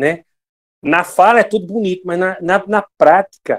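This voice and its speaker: With a dry, close sound and no echo, a man talks fairly slowly at a high pitch. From England. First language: English (speaking Portuguese). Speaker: lay preacher and English teacher. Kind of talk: devotional talk.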